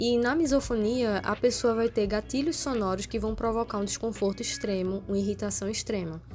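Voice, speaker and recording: A woman speaks softly, her pitch varying in an ordinary way. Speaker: vlogger. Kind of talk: casual vlog monologue. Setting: at home. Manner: soft-spoken.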